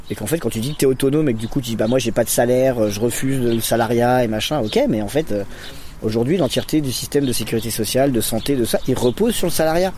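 A man's medium-pitched voice at a very fast pace. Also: ordinary pitch variation. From Lyon area, France. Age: 30s. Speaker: community educator and activist. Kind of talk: interview. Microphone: poor recording quality.

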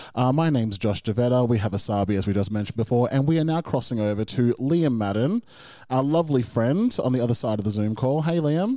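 Speaking very fast, a man keeps his loudness very even in a dark, mellow tone. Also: medium pitch for a man, ordinary pitch variation. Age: 30s. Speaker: music podcast co-host. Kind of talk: casual chat. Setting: video call.

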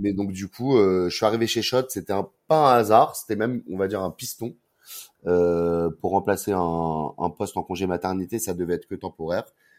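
A man's fairly low voice at a moderate pace with ordinary pitch variation, on a very clean recording with a silent background. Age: 30s. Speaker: brand marketing manager. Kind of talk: interview.

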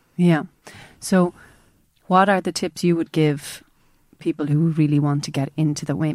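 A woman speaks in a very deep, low pitch with a dark, mellow tone, fairly even intonation and a moderate pace. The recording is very clean, with a silent background. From Jerez, southern Spain. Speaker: wine exporter. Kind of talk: casual chat.

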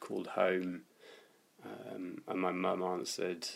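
With a southern English accent, the speaker talks at a fairly slow pace. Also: man. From London, West Hampstead. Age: 20s. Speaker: swimmer living with HIV. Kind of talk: interview testimony.

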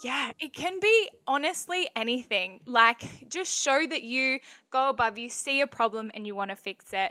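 In an Australian accent, a woman speaks in a raised, projected voice with a high pitch and a bright, sharp tone. She is animated, with lively intonation, big swings in loudness, and hardly any pauses. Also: moderate pace, dry, close sound with no echo. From Western Australia (Bunbury). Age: 20s. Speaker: young app founder. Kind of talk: casual interview.

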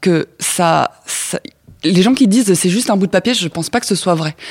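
A woman's voice with lively intonation, dry and close with no echo. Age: 30s. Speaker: podcast guest. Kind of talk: casual chat. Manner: halting.

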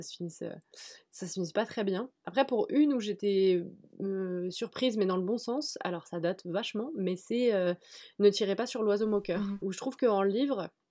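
On a very clean recording with a silent background, a dark, mellow voice moves at a fairly quick pace. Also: woman. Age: 20s. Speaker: journalist and book YouTuber. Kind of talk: casual chat.

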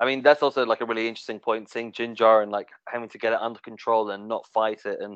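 His delivery stays monotone and flat. This male speaker sits at a medium pitch. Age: 30s. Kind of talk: casual chat. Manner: halting.

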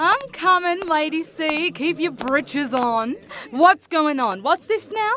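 Raising and projecting her voice, a woman with an Australian accent speaks at a very slow pace with lively intonation, over noticeable background noise. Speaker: opera singer. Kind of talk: common, unrefined, slangy.

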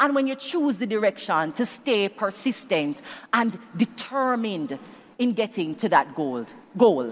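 Over noticeable background noise, a woman with a fairly high pitch speaks at a fairly slow pace in an animated tone with very wide pitch swings. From Jamaica. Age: young. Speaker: public speaking coach. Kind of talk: motivational talk. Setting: live event with audience and online chat.

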